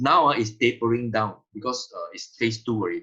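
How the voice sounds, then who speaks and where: A man talks with a bright, sharp tone. His pitch is medium and his pace moderate. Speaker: health detox promoter. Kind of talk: sales pitch. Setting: video call. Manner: animated.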